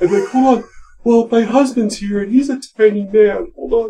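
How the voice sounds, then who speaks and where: Moderate pace, fairly high pitch, in a put-on character voice. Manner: pitch-shifted effect voice.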